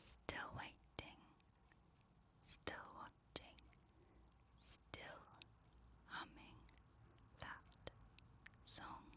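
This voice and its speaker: Whispered words come very slowly, broken by long, frequent pauses. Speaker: ASMR creator. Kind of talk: whispered spooky bedtime story. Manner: soft-spoken.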